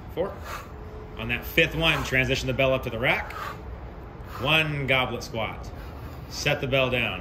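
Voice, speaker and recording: A man at a fairly slow pace, with ordinary pitch variation and noticeable background noise. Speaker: fitness coach. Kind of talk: workout coaching instructions. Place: street.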